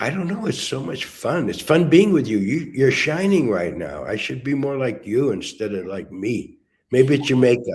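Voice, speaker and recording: In an American accent, a man talks in an animated tone with hardly any pauses, very wide pitch swings around a medium pitch, vocal fry, and audible room echo. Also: moderate pace. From USA. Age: 80s+. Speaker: spiritual teacher and disciple. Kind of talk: casual chat.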